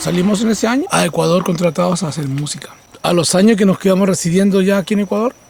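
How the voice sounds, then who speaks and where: A man talks at a high pitch with ordinary pitch variation. Noticeable background noise is present. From northern Chile (Vallenar). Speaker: shaman and musician. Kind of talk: documentary interview.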